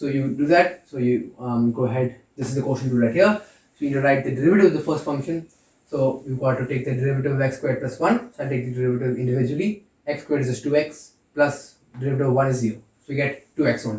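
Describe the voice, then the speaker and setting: A man talks very fast at a medium pitch, somewhat breathy, with ordinary pitch variation. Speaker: calculus lecturer. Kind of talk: lecture. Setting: lecture hall.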